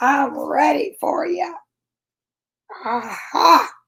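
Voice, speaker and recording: A put-on character voice, fairly high in pitch, sounds gravelly and raspy. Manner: menacing.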